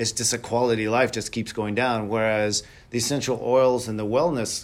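A man speaks in a plain, everyday voice at a medium pitch. His pace is moderate, and the recording is very clean with a silent background. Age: 50s. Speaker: high school wrestling referee, wellness show guest. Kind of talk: casual chat.

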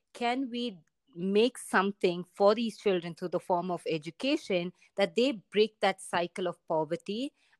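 A woman speaks in an Indian accent. Her intonation is lively. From India, Bangalore. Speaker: MBA student. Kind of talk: casual interview.

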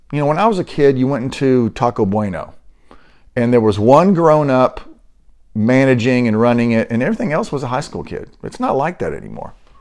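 With lively intonation and a fairly quick pace, a man uses an ordinary speaking voice at medium pitch. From US, military upbringing (moved around). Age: 60s. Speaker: podcast host. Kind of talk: casual monologue.

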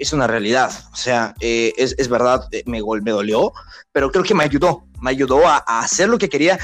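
Music plays in the background as a man talks at a moderate pace. His pitch is medium, with lively intonation. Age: 20s. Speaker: sports podcast host and football commentator. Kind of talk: interview (being interviewed).

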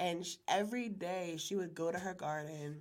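Audible room echo surrounds a woman with an American accent, whose fairly low voice keeps a fairly even intonation. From Maryland, Harford County. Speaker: chef and catering business owner. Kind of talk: casual chat.

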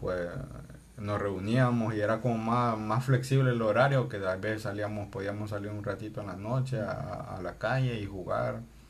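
Noticeable background noise and audible room echo surround a man's voice. His pitch is fairly low and his intonation fairly even. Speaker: podcast co-host. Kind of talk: casual chat. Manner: slow, measured speech.

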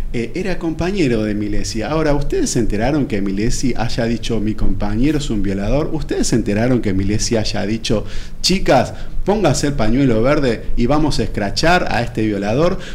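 Audible echo from the room, plus noticeable background noise. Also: man, medium pitch for a man, lively intonation, moderate pace. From Buenos Aires, Argentina. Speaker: doctor. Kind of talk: radio interview. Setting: studio. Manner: halting, many repetitions.

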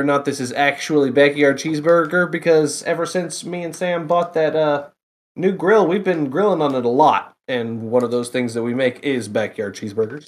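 In a very clean recording with a silent background, a man uses a normal speaking voice, fairly high in pitch, with ordinary pitch variation. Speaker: guest reviewer. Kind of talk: casual chat.

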